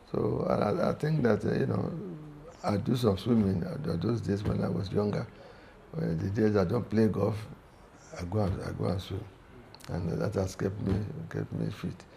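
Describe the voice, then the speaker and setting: A man with a fairly low pitch speaks at a moderate pace with lively intonation and long, frequent pauses, against noticeable background noise and audible room echo. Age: 70s. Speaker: sports club veteran member and former golf captain. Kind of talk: interview. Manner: halting, with frequent repetitions.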